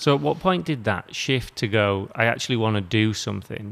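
A man with a British accent talks at a fairly quick pace in a fairly low voice, recorded very cleanly against a silent background. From UK. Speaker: podcast host. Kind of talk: interview.

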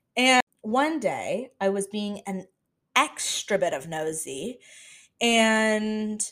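In a very clean recording with a silent background, a woman with a fairly high pitch speaks in an animated tone with very wide pitch swings. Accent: American. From Florida. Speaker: podcast host. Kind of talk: casual solo monologue.

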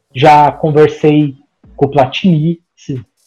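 Very slowly, a man speaks in a dark, mellow tone. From Brazil, interior of Paraná. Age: 30s. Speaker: sports journalist. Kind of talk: interview.

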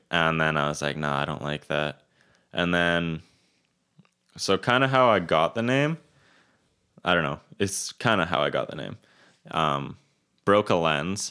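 A man with a Western Canadian accent and a very deep, low pitch speaks at a fairly slow pace in a relaxed tone with lively intonation and long, frequent pauses, on a very clean recording with a silent background. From Kelowna, British Columbia, Canada. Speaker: videographer and photographer. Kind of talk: casual interview. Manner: relaxed, laid-back.

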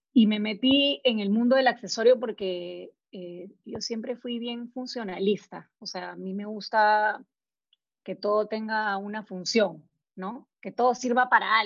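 Very slowly, this woman talks in a fairly high register whose pitch moves by an ordinary amount. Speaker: entrepreneur, graphic designer. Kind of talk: interview testimony. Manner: halting.

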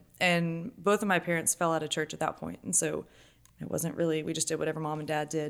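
A woman's very deep, low voice at a very fast pace, with fairly even intonation. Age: 20s. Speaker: stay-at-home mother and church volunteer. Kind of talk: casual interview testimony.

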